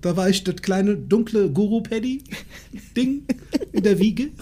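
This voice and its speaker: A man's high-pitched voice. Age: 40s. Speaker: podcast host. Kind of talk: casual chat. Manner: animated.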